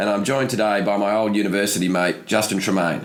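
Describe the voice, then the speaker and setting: A man with an Australian accent speaks at a fairly quick pace and a fairly low pitch. Noticeable background noise and audible room echo fill the recording. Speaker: podcast host. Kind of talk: podcast interview; scripted show intro.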